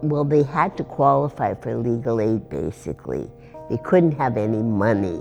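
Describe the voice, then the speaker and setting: A woman's very deep, low voice with very wide pitch swings, at a moderate pace over music in the background. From Northern Quebec, Canada. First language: bilingual English and French. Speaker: retired lawyer, former legal clinic director. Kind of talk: interview answer.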